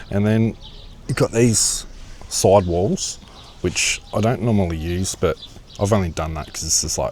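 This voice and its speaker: Over noticeable background noise, a man with an Australian accent and a fairly low pitch speaks at a fairly slow pace with long, frequent pauses. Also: ordinary pitch variation. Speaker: camping vlogger. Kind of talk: casual vlog walkthrough. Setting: outdoors at a campsite.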